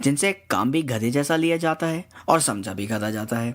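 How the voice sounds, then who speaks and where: Very wide pitch swings in a man's voice set at medium pitch. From Karachi, Pakistan. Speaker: blogger, satire writer. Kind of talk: humorous satirical essay reading.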